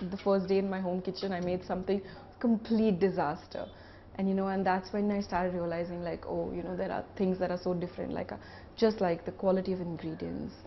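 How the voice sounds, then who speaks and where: Somewhat breathy, a woman talks at a fairly quick pace in a flat monotone. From India, Mumbai. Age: 20s. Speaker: pastry chef and shop owner. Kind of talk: interview monologue.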